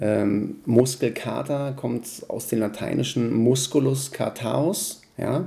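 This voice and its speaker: Very slow speech from a man, with noticeable background noise. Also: medium pitch for a man, ordinary pitch variation. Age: 40s. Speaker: personal trainer. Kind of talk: interview.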